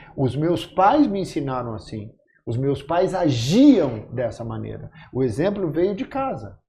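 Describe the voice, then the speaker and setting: Speaking at a fairly slow pace, a man with a dark, mellow tone and vocal fry lets his pitch swing very widely. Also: fairly high pitch for a man. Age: 60s. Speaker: actor, podcast guest. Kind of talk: casual chat.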